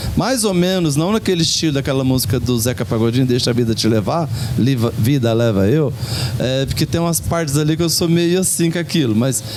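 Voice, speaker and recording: Lively intonation and very even loudness, with noticeable background noise and audible room echo. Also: man, medium pitch for a man. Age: 60s. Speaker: community radio program participant. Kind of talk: casual group chat on radio. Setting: radio program recorded at a local shop. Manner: animated storytelling.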